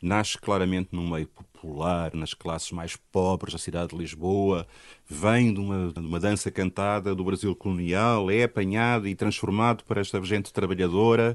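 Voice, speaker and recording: This man talks with a very deep, low pitch, fairly even intonation and a moderate pace, against a quiet background. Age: 60s. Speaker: musicologist and university professor. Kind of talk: interview.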